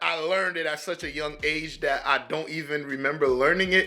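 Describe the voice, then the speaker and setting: Over background music, a man with a Haitian accent and a fairly high pitch speaks at a moderate pace with ordinary pitch variation. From US, urban community, Haitian family. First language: Haitian Creole. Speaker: reaction video creator. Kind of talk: casual commentary. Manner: halting, repetitive stammering.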